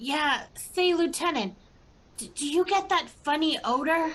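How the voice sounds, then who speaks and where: Put-on character voice from a woman, pitched extremely high, rather slow and drawn out. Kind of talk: comic overacting. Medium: stage play.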